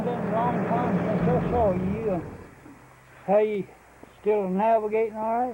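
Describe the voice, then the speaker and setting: A man with a Texan accent talks at a fairly slow pace in a high pitch with monotone, flat intonation and long, frequent pauses, over noticeable background noise. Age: 70s; old. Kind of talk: casual interview answer.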